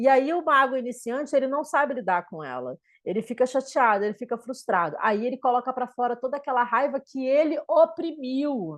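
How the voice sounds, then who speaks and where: A woman's high-pitched voice with ordinary pitch variation and hardly any pauses, against a quiet background. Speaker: spiritual teacher. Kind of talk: lecture. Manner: slow; halting.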